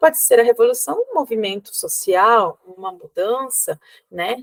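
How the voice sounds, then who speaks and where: Recorded with a dry, close sound and no echo, a woman speaks with lively intonation. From Cuba. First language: Spanish (speaking Portuguese). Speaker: university professor. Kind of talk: lecture. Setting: recorded video. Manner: halting.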